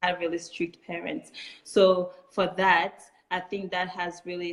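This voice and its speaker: A woman with a French accent, fairly low in pitch, with fairly even intonation. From Chad. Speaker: refugee, community founder. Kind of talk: interview.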